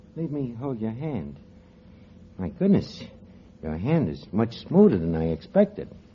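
In a put-on character voice, a man of medium pitch speaks at a fairly slow pace, with very wide pitch swings and a slightly husky edge.

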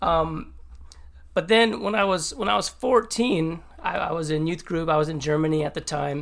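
A man talks at a moderate pace in an unremarkable speaking voice, his fairly high pitch carrying lively intonation. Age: 40s. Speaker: church worship director. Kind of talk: interview testimony.

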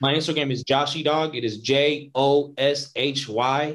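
A man with an American accent and a fairly high pitch uses a plain, everyday voice, talking at a fairly slow pace with fairly even intonation. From Northern California. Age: 20s. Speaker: independent filmmaker. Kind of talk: casual interview.

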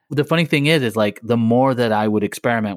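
A man speaks at a fairly quick pace with ordinary pitch variation, recorded very cleanly against a silent background with a dry, close sound and no echo. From Blackpool, northern England. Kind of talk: casual interview chat. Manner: conversational, informal.

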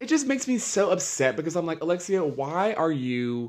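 A loud, animated man with an American accent speaks at a moderate pace, his pitch swinging very widely, on a very clean recording with a silent background. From US South, Charlotte, North Carolina. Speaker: podcast host. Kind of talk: casual solo commentary.

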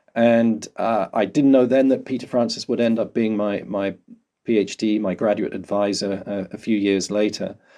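Against a quiet background, a man with a southern English accent speaks at a moderate pace in a fairly low pitch, his tone dark and mellow and his intonation fairly even. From London, England. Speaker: volcanologist. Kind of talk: interview. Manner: halting.

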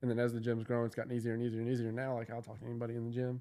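This man has a dark, mellow tone, a medium pitch, and a monotone, flat intonation. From Kentucky, Louisville. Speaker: gym owner. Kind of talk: casual chat.

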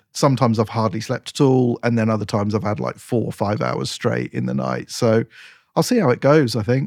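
Recorded very cleanly with a silent background, a man with an English accent comes across dry and close, with no echo. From England. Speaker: racing driver and podcast co-host. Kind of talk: casual chat.

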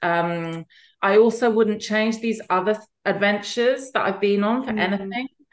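With an English accent, a woman talks at a moderate pace and fairly high pitch, her intonation fairly even. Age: 50s. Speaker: author and fertility advocate. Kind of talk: interview. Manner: halting.

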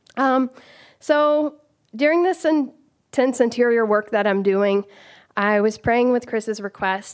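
A woman's normal speaking voice at a fairly slow pace, with ordinary pitch variation and a quiet background. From US South (rural Georgia). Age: 30s. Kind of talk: live storytelling.

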